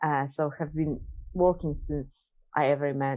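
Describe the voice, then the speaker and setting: The speaker has a Polish accent. Pitch variation is ordinary. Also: woman. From Poland. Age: 40s. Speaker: businesswoman and coach. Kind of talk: casual chat.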